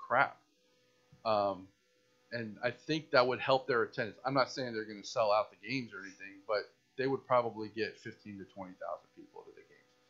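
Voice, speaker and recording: With an American accent, a man speaks at a fairly quick pace, leaving long, frequent pauses. His loudness swings widely, while his pitch variation is ordinary. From Tampa, Florida; Florida. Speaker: podcast co-host. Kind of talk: casual chat. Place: home room. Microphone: studio mic.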